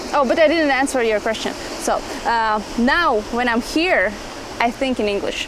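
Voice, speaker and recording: Over noticeable background noise, a woman with a strong Latvian accent speaks at a moderate pace in a high pitch with ordinary pitch variation. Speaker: dancer and dance entrepreneur. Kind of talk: casual interview chat. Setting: outdoors on a beach. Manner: halting, non-fluent English.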